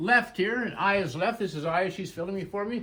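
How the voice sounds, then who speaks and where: In a raised, projected voice, a man speaks at a fairly slow pace with a high pitch. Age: 70s. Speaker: antique dealer. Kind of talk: walkthrough tour of auction items. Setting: in a store, filmed by an assistant. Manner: casual, conversational with fillers.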